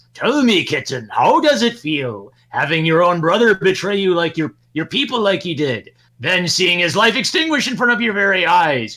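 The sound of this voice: A man puts on a character voice with a sinister, theatrical tone and a high pitch. He talks at a moderate pace with hardly any pauses.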